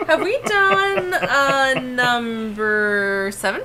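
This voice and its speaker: A woman with a high voice speaks at a very slow pace, her pitch swinging very widely over noticeable background noise. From Pacific Northwest, born and raised.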